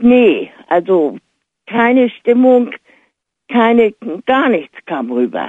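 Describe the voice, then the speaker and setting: A woman's fairly high voice, very slow and lively in intonation, broken by long, frequent pauses. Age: 70s. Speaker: caller. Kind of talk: call-in radio talk.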